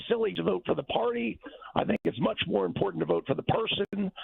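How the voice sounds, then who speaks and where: Very wide pitch swings mark this man's speech. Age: 60s. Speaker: caller. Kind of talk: call-in opinion. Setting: phone call.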